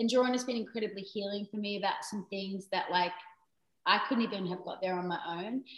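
Fairly quick and fairly even in intonation, a woman talks with an Australian accent. Her pitch sits at a medium level. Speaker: songwriter. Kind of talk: casual chat.

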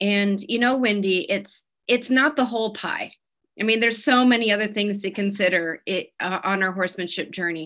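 In a plain, everyday voice, a woman talks at a moderate pace with a medium pitch and ordinary pitch variation. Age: 40s. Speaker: equine anatomy educator. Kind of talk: webinar presentation.

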